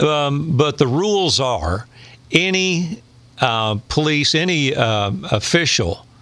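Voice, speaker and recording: The tone is bright and sharp, with an East Tennessee accent. Intonation is lively. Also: man. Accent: Southern US (East Tennessee). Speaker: radio host and former county commissioner. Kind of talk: casual chat.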